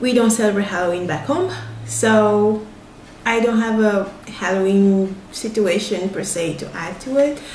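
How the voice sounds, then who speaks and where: A woman talks at a fairly slow pace in a medium pitch, with ordinary pitch variation. The room echoes audibly and background noise is noticeable. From Togo (Lomé), West Africa. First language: Ewe (also French). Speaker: vlogger and writer. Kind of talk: casual vlog Q&A.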